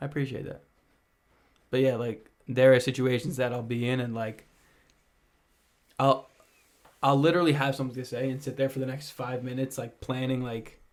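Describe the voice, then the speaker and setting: A man speaks at a fairly quick pace and a medium pitch, broken by long, frequent pauses. His intonation is monotone and flat. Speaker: podcast co-host. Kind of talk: casual chat.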